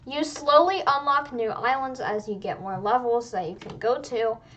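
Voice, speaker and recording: With lively intonation and a high pitch, a woman talks at a moderate pace over noticeable background noise. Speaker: gaming youtuber. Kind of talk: gameplay tutorial. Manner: casual, filler-heavy.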